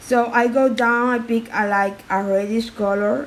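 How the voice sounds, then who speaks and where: Fairly high, fairly even intonation from a woman, with noticeable background noise and audible room echo. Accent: non-native. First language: not English. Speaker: art tutorial creator. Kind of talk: tutorial. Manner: halting.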